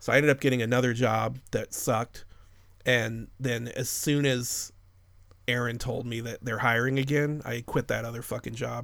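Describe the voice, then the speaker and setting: A man with an American accent at a medium pitch and a moderate pace. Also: very clean recording, silent background. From suburbs of Chicago. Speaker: podcast host. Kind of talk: casual chat about movies. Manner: profane, casual.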